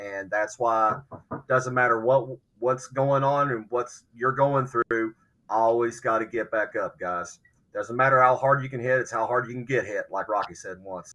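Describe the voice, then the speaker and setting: In an Appalachian accent, this bright, sharp voice keeps a fairly even intonation at a moderate pace. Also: man, medium pitch for a man. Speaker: podcast panelist. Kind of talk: casual chat.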